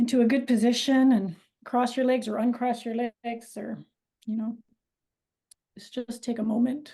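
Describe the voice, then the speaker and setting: In a Canadian accent, a woman speaks calmly at a fairly slow pace, her fairly high voice dark and mellow in tone with fairly even intonation. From Edmonton, Alberta, Canada (Dutch-born). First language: Dutch. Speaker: author and academic. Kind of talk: guided writing exercise in a webinar. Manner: calm, guiding.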